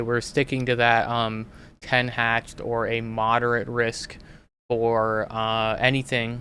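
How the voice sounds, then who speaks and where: Bright and sharp in tone, a man's voice stays monotone and flat on a very clean recording with a silent background. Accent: American. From Minnesota. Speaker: weather analyst and livestream host. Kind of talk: live weather commentary. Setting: livestream. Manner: casual, many fillers.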